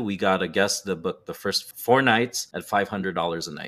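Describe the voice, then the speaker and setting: A normal speaking voice keeps a moderate pace and ordinary pitch variation, recorded very cleanly against a silent background. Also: man. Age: 40s. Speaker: respiratory therapist and real estate investor. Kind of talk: casual interview.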